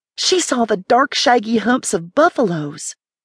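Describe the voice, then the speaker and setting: A woman's normal speaking voice with lively intonation. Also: quiet background. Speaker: audiobook narrator. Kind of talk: dramatic audiobook narration, scripted historical romance. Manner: measured, expressive storytelling pace.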